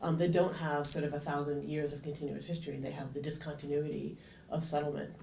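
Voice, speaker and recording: Talking at a very fast pace, a woman uses a very deep, low pitch in a flat monotone. Noticeable background noise and audible room echo fill the recording. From Canada. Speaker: engineering professor, panelist. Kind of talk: conference panel talk. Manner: many filler ums and repetitions.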